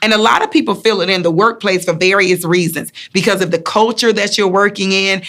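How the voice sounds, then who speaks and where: A woman with a Southern US accent at a fairly quick pace, hardly any pauses and very even loudness. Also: medium pitch for a woman, ordinary pitch variation. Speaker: motivational speaker and wellness coach. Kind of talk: motivational talk to camera. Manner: warm, encouraging.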